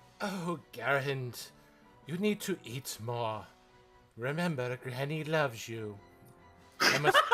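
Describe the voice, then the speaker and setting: A soft-spoken, put-on character voice from a man at medium pitch, fairly slow with long, frequent pauses, over clear background music. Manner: gentle, caring.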